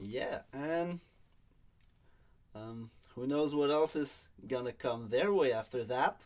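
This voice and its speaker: Speaking very slowly with long, frequent pauses, a man with a strong French accent uses ordinary pitch variation. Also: medium pitch for a man. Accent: thick French. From Quebec. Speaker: online league draft host. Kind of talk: livestream commentary.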